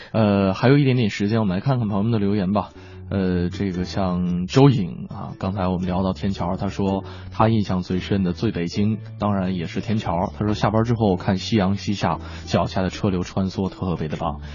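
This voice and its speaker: A man with very deep, low pitch and ordinary pitch variation at a moderate pace, with music in the background. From Northeast China. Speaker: radio host. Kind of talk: casual radio chat. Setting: radio studio.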